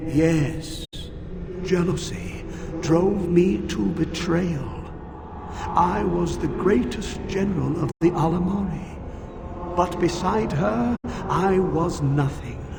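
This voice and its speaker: Through loud background noise and a clear echo, a man puts on a character voice pitched high, speaking at a very slow pace. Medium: machinima. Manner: grave, formal.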